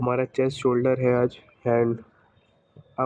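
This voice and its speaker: Quiet and flat in a monotone, the voice moves at a moderate pace. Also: man. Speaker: fitness vlogger. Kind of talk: vlog.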